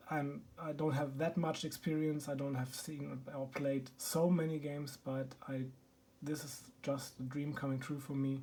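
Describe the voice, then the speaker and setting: Speaking in a German accent at a moderate pace, a man with a fairly high pitch and a dark, mellow tone sounds somewhat breathy, his intonation monotone and flat. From Germany. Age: 30s. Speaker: board game YouTuber. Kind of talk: casual video introduction. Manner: halting, many filler ums.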